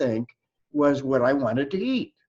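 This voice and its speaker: A man talks with a fairly high pitch at a moderate pace. His pitch swings very widely. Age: 80s+. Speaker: webinar presenter, mind-body teacher. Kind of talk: webinar talk. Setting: video call. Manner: conversational, with hesitations.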